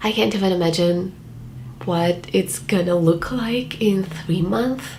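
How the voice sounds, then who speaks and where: In a room with audible echo and noticeable background noise, a woman talks very slowly at a fairly low pitch. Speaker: vlogger. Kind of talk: casual vlog monologue.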